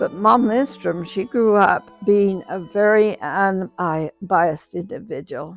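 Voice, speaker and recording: Very slowly, a woman with an American accent speaks with ordinary pitch variation as music plays in the background. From US West (Idaho, Rigby). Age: 90s. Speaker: oral history interviewee. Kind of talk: interview testimony.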